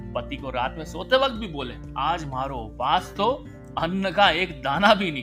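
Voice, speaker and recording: A man's voice with big swings in loudness, over music in the background. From Indore, central India. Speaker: podcaster, storyteller. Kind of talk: humorous storytelling.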